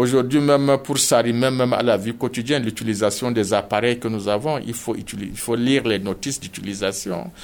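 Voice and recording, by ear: A man with a medium pitch talks at a fairly quick pace with few pauses. His voice shows vocal fry and ordinary pitch variation.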